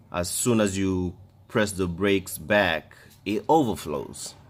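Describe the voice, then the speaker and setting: On a very clean recording with a silent background, a man with a non-native accent speaks at a very deep, low pitch with ordinary pitch variation. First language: not English. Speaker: DIY car repair vlogger. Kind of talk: tutorial. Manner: halting.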